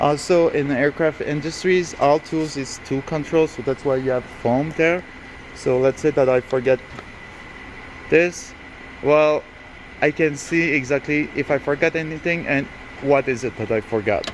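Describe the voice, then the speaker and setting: Amid noticeable background noise, a man with a French Canadian accent speaks at a moderate pace with fairly even intonation and long, frequent pauses. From Quebec. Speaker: aircraft mechanic. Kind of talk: tutorial. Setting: workshop. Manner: halting.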